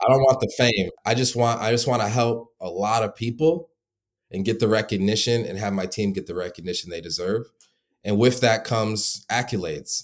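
A man with an American accent speaks at a fairly quick pace, with a medium pitch and ordinary pitch variation. It is a normal speaking voice in a very clean recording with a silent background. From Michigan. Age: 20s. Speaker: founder of a call center business for home service contractors. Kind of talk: interview.

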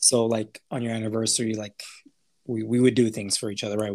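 A man with an American accent at a very fast pace, in a dry, close sound with no echo. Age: 30s. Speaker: podcast co-host. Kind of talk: casual chat. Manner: animated.

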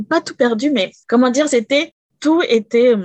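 With ordinary pitch variation, the woman talks fairly slowly. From France. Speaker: domestic violence survivor. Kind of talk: testimony.

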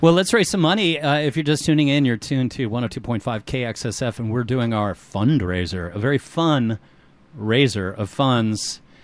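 A man uses a plain, everyday voice at a medium pitch. He talks at a moderate pace with lively intonation. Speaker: community radio DJ. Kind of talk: casual chat and fundraising appeal. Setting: radio studio. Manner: relaxed, rambling with filler words.

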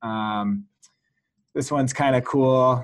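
In an American accent, a man with an unremarkable speaking voice talks at a medium pitch with fairly even intonation. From California. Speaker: software company founder. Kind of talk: casual interview with screen-share walkthrough.

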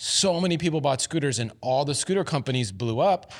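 In an unremarkable speaking voice, a man talks at a fairly quick pace with lively intonation on a very clean recording with a silent background. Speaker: founder of a scooter review channel. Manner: casual, laughing.

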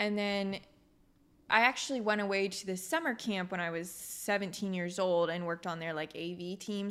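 A woman with a plain, everyday voice, fairly low in pitch, with fairly even intonation at a moderate pace. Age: 20s. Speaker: filmmaker. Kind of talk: interview.

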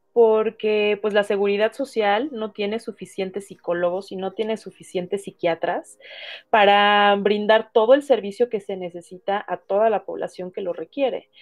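Using a plain, everyday voice, a woman speaks at a medium pitch and a moderate pace with fairly even intonation. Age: 40s. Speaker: psychotherapist. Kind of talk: interview.

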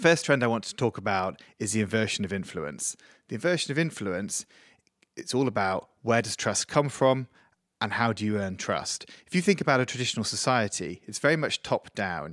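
A man with a plain, everyday voice speaks at a medium pitch and a fairly quick pace. His intonation is lively, and the sound is dry and close with no echo. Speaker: agency CEO. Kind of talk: interview.

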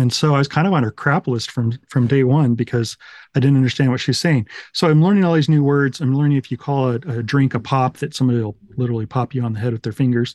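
A man talks at a very fast clip in a medium pitch with ordinary pitch variation, the sound dry and close with no echo over a quiet background. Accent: American. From Utah and Texas, US. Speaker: recovery story guest. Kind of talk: testimony.

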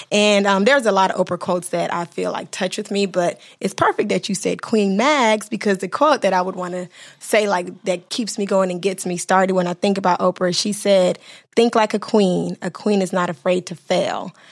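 Here is a woman with an unremarkable speaking voice at a medium pitch. She talks at a fairly quick pace. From Miami, Florida (Bahamian-Haitian family). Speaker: entrepreneur, business owner. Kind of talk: casual interview chat.

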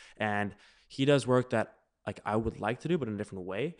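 A man against a quiet background. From South Africa, moved to Canada at 12. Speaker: automotive photographer. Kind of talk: interview. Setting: workshop studio.

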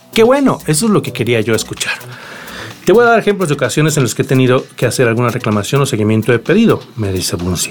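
Very fast speech with very wide pitch swings comes through noticeable background noise. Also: man, medium pitch for a man. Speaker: tech podcast host. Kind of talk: solo podcast monologue.

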